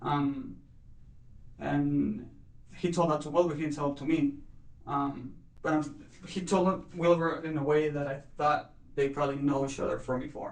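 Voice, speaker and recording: A man with a Spanish accent and a fairly high voice talks at a moderate pace with fairly even intonation. He takes long, frequent pauses, and there is audible room echo. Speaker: murder suspect. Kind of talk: police interrogation. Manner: halting, many fillers.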